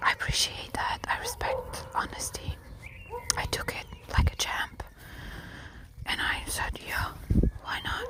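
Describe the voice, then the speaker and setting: A woman whispers at a very slow pace with long, frequent pauses, and there is noticeable background noise. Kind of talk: ASMR whisper real talk, casual talk to camera. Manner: whispered, conversational.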